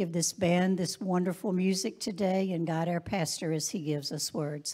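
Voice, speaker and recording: Against a quiet background, a woman speaks at a moderate pace in a dark, mellow tone. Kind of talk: prayer then announcements. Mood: reverent during prayer. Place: church. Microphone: handheld.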